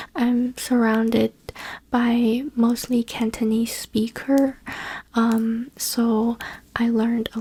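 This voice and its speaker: Very slow speech in a Chinese accent. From China. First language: Chinese (Mandarin). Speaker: ASMR YouTuber. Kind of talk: casual Q&A talk. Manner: soft-spoken.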